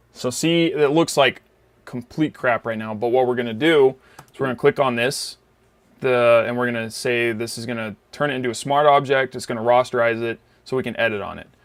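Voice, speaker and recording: In an ordinary speaking voice, a man talks at a fairly quick pace with a medium pitch, fairly even intonation and big swings in loudness. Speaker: photo editing tutorial creator. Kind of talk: tutorial. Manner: casual, filler-heavy.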